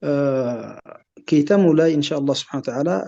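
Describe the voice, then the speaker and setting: This man's fairly high pitch moves with ordinary variation, and his tone is dark and mellow. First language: Arabic (speaking Indonesian). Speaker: Islamic scholar. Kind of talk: lecture. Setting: webinar video call. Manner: halting, many hesitations.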